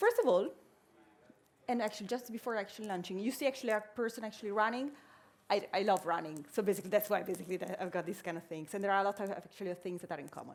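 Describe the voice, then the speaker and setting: A woman with an Italian accent at a very fast pace, medium pitch, and ordinary pitch variation. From Italy. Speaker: innovation strategist, workshop speaker. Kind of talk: conference workshop talk. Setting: stage with audience. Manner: halting, many fillers.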